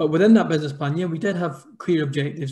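Against a quiet background, the voice has a dark, mellow tone and is somewhat breathy. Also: man. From Scotland. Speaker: business founder; panelist. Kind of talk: panel discussion. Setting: video call. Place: home room. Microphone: video call.

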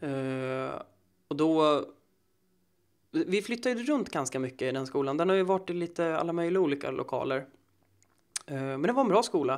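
A man's fairly high voice at a moderate pace, broken by long, frequent pauses. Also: lively intonation. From Sweden, Södertälje. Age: 20s. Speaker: actor and musician. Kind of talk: casual interview.

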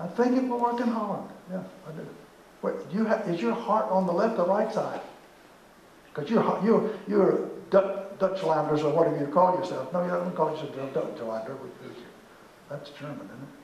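A man speaks at a high pitch with lively intonation and a moderate pace, leaving long, frequent pauses. Room echo is audible, along with light background noise. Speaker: management consultant. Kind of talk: lecture. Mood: playful, joking. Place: hall. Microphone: camera far.

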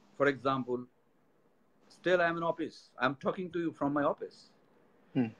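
A man with a Bengali accent, fairly high in pitch with ordinary pitch variation, at a fairly quick pace broken by long, frequent pauses. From Bangladesh. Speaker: company executive; guest. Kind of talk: interview; interview answer. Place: office. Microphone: speakerphone, speaking louder; video call.

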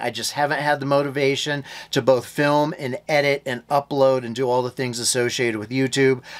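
The speaker is a man whose delivery moves at a moderate pace. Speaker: homestead vlogger. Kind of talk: casual vlog chat. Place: home room. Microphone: phone near.

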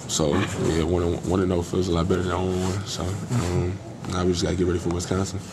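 A man's low voice with little pitch movement, a fast pace and clear background noise

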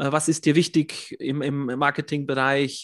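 Monotone, flat intonation against a quiet background, with a dry, close sound and no echo. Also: man. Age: 40s. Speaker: system administrator and YouTube coach. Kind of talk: interview.

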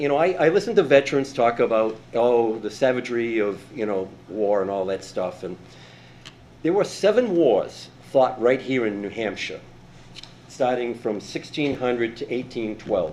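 The speech moves at a moderate pace with lively intonation. Room echo can be heard. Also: man, medium pitch for a man. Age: 70s. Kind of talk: public comment. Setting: city council meeting. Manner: halting.

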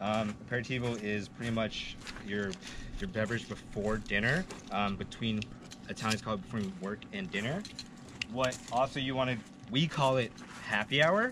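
Noticeable background noise sits behind a man talking at a moderate pace with long, frequent pauses. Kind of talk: casual drink-pairing explanation. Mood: friendly, relaxed. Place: open country.

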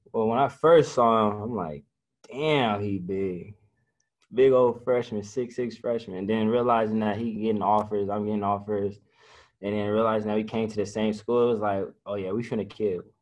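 A man with an unremarkable speaking voice, fairly low-pitched, at a moderate pace with fairly even intonation against a quiet background. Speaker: college football player. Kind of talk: interview. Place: meeting room. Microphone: video call.

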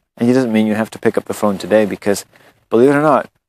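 Captured as a dry sound with no echo, a man talks with ordinary pitch variation. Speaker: spiritual blogger. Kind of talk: reflective monologue. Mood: calm, earnest. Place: garden. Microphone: phone near.

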